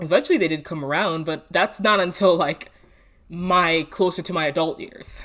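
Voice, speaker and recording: Recorded very cleanly against a silent background, a woman speaks at a fairly low pitch with ordinary pitch variation. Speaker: vlogger. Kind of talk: personal storytelling monologue. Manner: casual, with frequent fillers; unedited, talking off the cuff.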